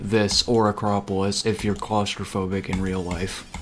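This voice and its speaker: At a moderate pace, a man speaks while music plays behind him. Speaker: video game streamer. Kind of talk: live gameplay commentary. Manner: stutters, trips over words; casual, filler-heavy.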